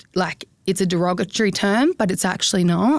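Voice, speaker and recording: With an Australian accent, a woman talks at a fairly quick pace at a medium pitch with ordinary pitch variation. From South Australia, country town. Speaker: social media influencer. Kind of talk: interview. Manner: expressive, animated.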